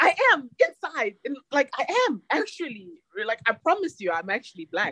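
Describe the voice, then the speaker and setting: A woman uses a raised, projected voice at a high pitch with very wide pitch swings, heard dry and close with no echo. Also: moderate pace. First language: an African mother tongue; Greek learned early. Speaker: school principal. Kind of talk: casual chat. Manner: animated.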